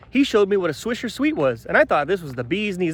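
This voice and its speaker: A man's animated, high voice at a very fast pace, with very wide pitch swings. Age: 30s. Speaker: vlogger. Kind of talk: casual vlog monologue. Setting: outdoors, hiking in the mountains.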